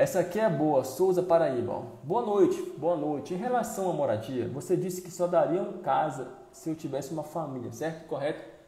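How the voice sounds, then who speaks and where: At a moderate pace, a man with a high pitch speaks with lively intonation in audible room echo. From Brazil, Pará (North). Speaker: military musician and online course creator. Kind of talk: live stream Q&A. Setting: live stream. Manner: animated. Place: home room. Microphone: earbuds.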